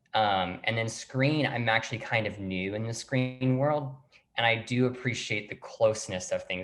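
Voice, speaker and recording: A man with an American accent and an ordinary speaking voice talks at a moderate pace and medium pitch, with ordinary pitch variation. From US South. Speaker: actor and playwright. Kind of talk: interview.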